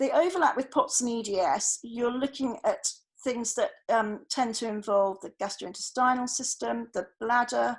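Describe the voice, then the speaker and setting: A woman with a British accent at a moderate pace, ordinary pitch variation, quiet background. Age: 50s. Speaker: doctor giving talk to GPs. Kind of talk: lecture.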